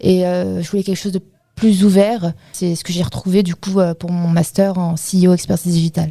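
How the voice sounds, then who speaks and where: A woman speaks at a fairly quick pace. Her fairly low voice stays flat and monotone. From Paris region, France. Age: 20s. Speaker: work-study student, web project manager. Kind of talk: interview. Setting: studio.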